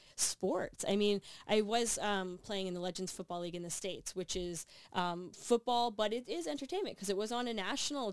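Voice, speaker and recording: Using an ordinary speaking voice, a woman with a Canadian accent talks at a fairly quick pace and medium pitch with ordinary pitch variation. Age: 30s. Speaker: athlete and sports broadcaster. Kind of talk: interview.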